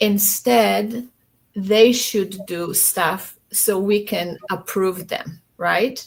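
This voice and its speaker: A woman's very slow, medium-pitched speech with a non-native accent and fairly even intonation. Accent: foreign accent in English. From Poland. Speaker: panel guest. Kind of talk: casual panel discussion. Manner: hesitant, many fillers.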